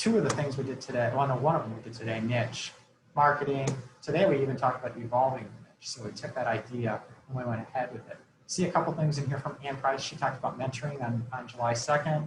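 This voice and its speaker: Audible room echo surrounds a man speaking very fast at a medium pitch with fairly even intonation. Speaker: program evaluation consultant. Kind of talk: webinar presentation.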